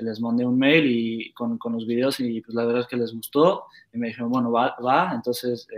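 With a Mexican accent, a man talks at a moderate pace and medium pitch, his intonation fairly even. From Mexico, Querétaro. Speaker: professional footballer. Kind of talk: casual interview. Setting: live stream.

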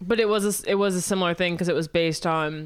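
With an American accent, a woman in a plain, everyday voice talks at a fairly quick pace with fairly even intonation. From US Midwest, Missouri. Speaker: screenwriter, podcast co-host. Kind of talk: casual chat.

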